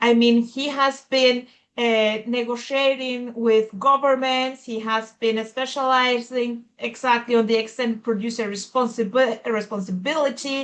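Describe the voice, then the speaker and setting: A woman with a Spanish accent and a high pitch, at a fairly slow pace in a monotone, flat delivery with hardly any pauses. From Colombia. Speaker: conference moderator. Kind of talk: event introduction. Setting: video call. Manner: halting, many fillers.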